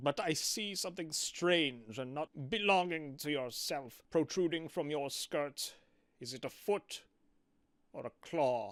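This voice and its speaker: In a very clean recording with a silent background, a man does a put-on character voice at a fairly high pitch, speaking at a fairly slow pace. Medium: read story.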